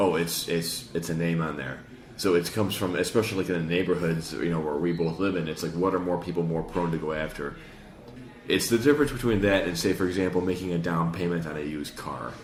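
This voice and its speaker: A man with a Chicago accent talks at a very fast pace in a very deep, low pitch with ordinary variation, and audible room echo surrounds him. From Chicago, US Midwest. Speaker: podcast host, retail salesperson. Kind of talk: casual chat.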